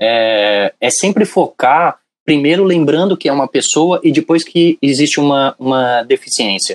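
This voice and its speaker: A man talks at a fairly high pitch with ordinary pitch variation. The sound is dry and close, with no echo. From São Paulo city, Brazil. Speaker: university professor. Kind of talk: casual chat.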